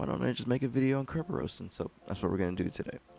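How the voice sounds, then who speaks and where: A man speaks with very wide swings in pitch and a vocal fry. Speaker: cybersecurity tutorial creator. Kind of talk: tutorial. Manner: casual, conversational.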